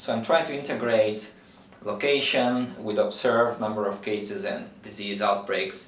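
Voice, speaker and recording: A man with a Brazilian accent speaks at a moderate pace, with noticeable background noise and audible room echo. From Brazil, countryside. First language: Portuguese. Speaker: veterinary researcher. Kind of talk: interview. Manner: hesitant with fillers.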